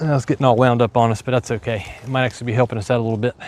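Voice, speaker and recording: Speaking very fast in an Appalachian accent, a man holds a medium pitch in a dry, close sound with no echo. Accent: hillbilly twang. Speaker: farmer. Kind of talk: livestream tutorial, casual. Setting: outdoors on farm, live stream. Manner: casual, conversational.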